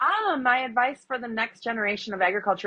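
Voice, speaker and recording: A woman speaks with a Wisconsin accent. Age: 40s. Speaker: agriculture advocate and influencer. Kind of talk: interview.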